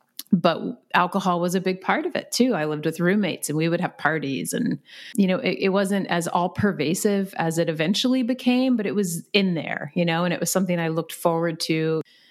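With an animated, enthusiastic tone, a woman talks at a fairly quick pace in a fairly low pitch with ordinary pitch variation. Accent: American. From Virginia, US. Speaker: physical therapist and recovery coach. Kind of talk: interview conversation.

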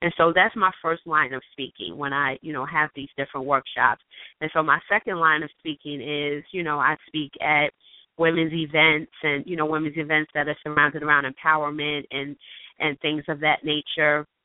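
A woman's very deep, low-pitched voice in an American accent, monotone and flat in intonation, at a moderate pace. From New York. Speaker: author and self-publishing coach. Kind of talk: radio interview. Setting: phone call.

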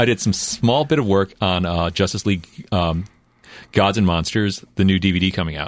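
On a very clean recording with a silent background, a man talks at a fairly low pitch with ordinary pitch variation. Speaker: comic book artist. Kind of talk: casual chat. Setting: studio.

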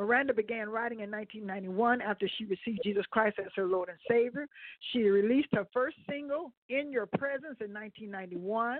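An ordinary speaking voice from a woman, fairly high in pitch, at a moderate pace with ordinary pitch variation. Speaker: radio host. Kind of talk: casual chat.

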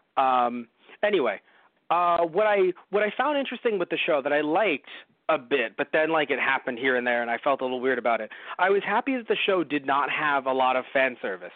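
This man has a plain, everyday voice, pitched fairly high, with lively intonation. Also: fairly quick pace. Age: 20s. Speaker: podcast host. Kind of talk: casual chat. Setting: audio-only recording.

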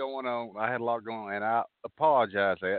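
A man with a Southern US accent speaks at a medium pitch with ordinary pitch variation. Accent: Southern US drawl. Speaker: radio show host.

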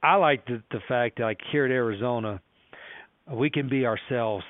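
Here a man speaks at a medium pitch with ordinary pitch variation. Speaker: college football head coach. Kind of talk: casual interview storytelling.

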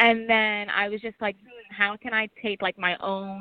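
A woman with an American accent, a normal speaking voice, medium pitch and a moderate pace. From New York City. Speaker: hip-hop artist. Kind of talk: radio interview. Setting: phone call.

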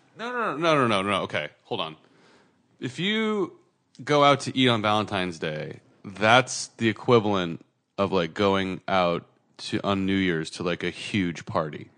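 In an American accent, a man speaks at a moderate pace and fairly low pitch over a quiet background. His tone is bright and sharp, with lively intonation. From California (Santa Cruz). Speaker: podcast co-host. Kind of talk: casual chat.

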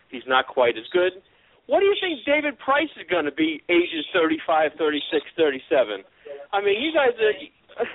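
This man's high-pitched voice swings very widely in pitch and loudness as he talks at a fairly slow pace. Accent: American. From Long Island, New York. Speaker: caller. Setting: phone call.

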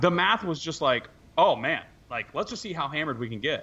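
A man speaks with high pitch and very wide pitch swings. His pace is fairly quick. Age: 30s. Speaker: podcast co-host. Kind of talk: casual chat. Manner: animated.

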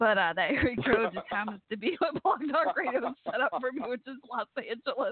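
The speaker talks in a Texan accent at a fairly quick pace with hardly any pauses. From Texas. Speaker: podcast host. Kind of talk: casual chat. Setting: internet radio call-in show.

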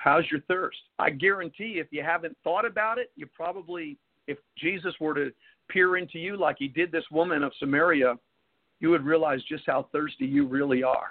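An ordinary speaking voice goes along at a moderate pace with ordinary pitch variation. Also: man, fairly high pitch for a man. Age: 50s. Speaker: pastor and radio host. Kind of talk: sermon. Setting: live radio broadcast with call-ins.

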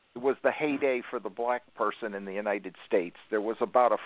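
Here is an ordinary speaking voice: a man with an American accent, medium pitch, ordinary pitch variation and a moderate pace. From northern US. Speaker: radio network owner. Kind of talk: casual chat.

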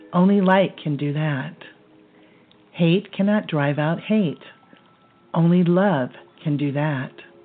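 Very slowly and with long, frequent pauses, a woman speaks in a calm, soothing tone at a fairly low pitch with ordinary pitch variation, music playing behind her. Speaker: guided meditation host and color therapist. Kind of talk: guided meditation. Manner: slow, calm, soothing, gently paced with pauses; soft-spoken, serene, instructive.

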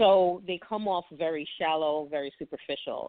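In a New York accent, a woman with a very deep, low pitch speaks at a fairly slow pace with ordinary pitch variation. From Brooklyn, New York. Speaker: romance author. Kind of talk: interview.

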